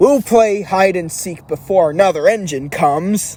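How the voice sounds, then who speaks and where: Putting on a character voice, a man speaks in a high pitch at a moderate pace. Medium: read story.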